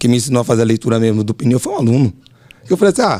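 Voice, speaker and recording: The man speaks very fast with lively intonation. His tone is dark and mellow. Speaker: driving instructor, podcast host. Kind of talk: casual chat.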